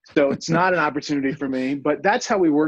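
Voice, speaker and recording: A man with an ordinary speaking voice and a fairly high pitch talks at a fairly quick pace with lively intonation. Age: 50s. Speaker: healthcare company CEO. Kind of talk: interview conversation.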